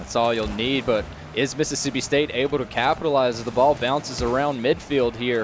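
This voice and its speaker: Energetic in tone, a man with a medium pitch speaks at a fairly quick pace over noticeable background noise. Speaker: esports shoutcaster. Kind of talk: live esports play-by-play commentary. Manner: energetic, fluent.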